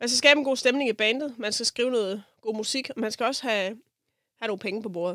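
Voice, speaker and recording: Speaking at a very fast pace, a woman has a bright, sharp tone. Her pitch is fairly high, with ordinary variation. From Denmark, South Funen. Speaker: jazz composer and bandleader. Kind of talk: interview conversation. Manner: hesitant, filler-heavy.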